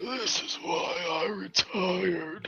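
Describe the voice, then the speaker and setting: A man's raspy, put-on character voice over clear background noise. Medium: actual play. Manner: weary, grumbling.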